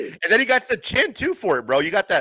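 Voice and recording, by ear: Delivered at a fast pace, the voice has a bright, sharp tone and big pitch swings. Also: man, high pitch for a man.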